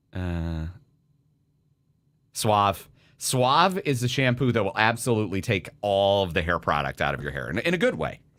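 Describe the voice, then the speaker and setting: Loud speech at a moderate pace swings very widely in pitch, broken by long, frequent pauses, in a very clean recording with a silent background. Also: man, fairly low pitch for a man. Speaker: radio host. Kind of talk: casual chat.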